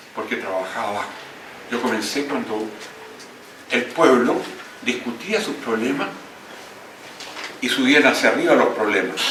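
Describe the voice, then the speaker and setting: A man speaks at a medium pitch, with long, frequent pauses. The room echo is audible and the background noise is noticeable. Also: ordinary pitch variation, moderate pace. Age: 80s+. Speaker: book editor and former politician. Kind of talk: speech at book launch.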